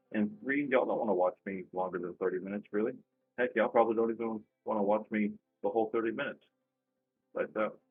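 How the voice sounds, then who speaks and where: Music plays in the background as a man with a fairly low voice talks at a very fast pace in fairly even intonation, with long, frequent pauses. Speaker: dice control practice shooter. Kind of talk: casual commentary tutorial. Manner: monotone; pausing.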